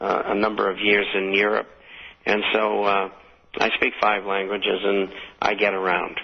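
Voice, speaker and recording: With a Boston accent, a man talks at a fairly low pitch in a monotone, flat delivery broken by long, frequent pauses. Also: very even loudness. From Boston area, Somerville, Massachusetts. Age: 70s. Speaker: retired stockbroker and financial newsletter publisher. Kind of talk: radio interview. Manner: hesitant, many fillers.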